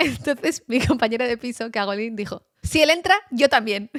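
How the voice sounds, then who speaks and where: Animated and with lively intonation, a woman speaks in a high voice with a dry, close sound and no echo. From Basque Country, Spain. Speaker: journalist. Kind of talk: casual chat.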